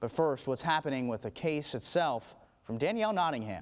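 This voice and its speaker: A man with a plain, everyday voice at a fairly quick pace against a quiet background. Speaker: television news anchor. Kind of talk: TV news anchor delivery.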